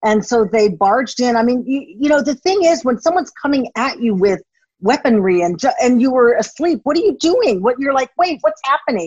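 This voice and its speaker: A woman with an American accent talks at a fairly quick pace in a high pitch, her loudness very even while her pitch swings very widely. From United States. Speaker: former TV journalist and blogger. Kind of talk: casual interview conversation.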